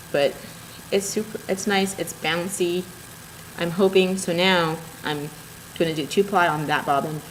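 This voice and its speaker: A woman with a fairly low-pitched voice talks at a moderate pace with long, frequent pauses, amid noticeable background noise. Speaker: knitting and spinning podcaster. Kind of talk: casual video podcast show-and-tell. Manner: animated.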